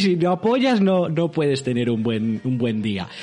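An animated man at a fairly slow pace, with very wide pitch swings and noticeable background noise. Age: 30s. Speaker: live streamer. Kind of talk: casual livestream chat.

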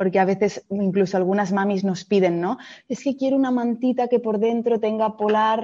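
Over a quiet background, a woman speaks at a fairly high pitch. Her tone is dark and mellow, with fairly even intonation. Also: moderate pace. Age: 30s. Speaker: fashion entrepreneur. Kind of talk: interview.

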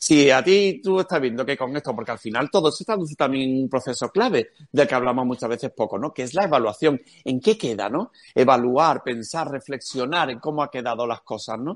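In an ordinary speaking voice, a man speaks at a medium pitch and a fairly quick pace with lively intonation. The sound is dry and close with no echo, and the background is quiet. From Cádiz, Andalusia, Spain. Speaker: education speaker and marketing specialist. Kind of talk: interview.

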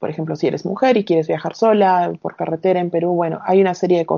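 Speaking with an unremarkable speaking voice, a woman keeps her intonation fairly even at a fairly low pitch. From Peru, Arequipa (south). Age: 30s. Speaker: recruiter and long-term traveller. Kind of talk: casual interview.

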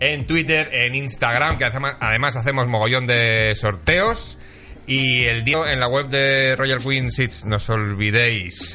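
Amid noticeable background noise and audible room echo, a man at medium pitch talks at a very slow pace with ordinary pitch variation and very even loudness. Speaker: podcast host. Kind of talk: casual chat.

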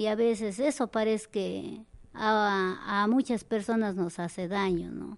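In a quiet background, a woman talks at a medium pitch. Her pace is fairly slow and her intonation fairly even. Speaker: community association leader. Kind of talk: interview. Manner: halting.

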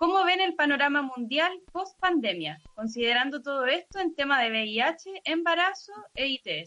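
Her high-pitched voice is raised and projected, with a bright, sharp tone. The woman speaks at a fairly slow pace with very wide pitch swings. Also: hardly any pauses. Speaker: podcast host. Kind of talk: interview. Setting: live stream video call.

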